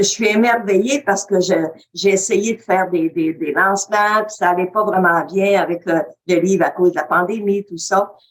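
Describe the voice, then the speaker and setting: A woman with a Quebec accent speaks at a medium pitch and a moderate pace with fairly even intonation. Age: 80s+. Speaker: webinar participant. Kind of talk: testimony. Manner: halting.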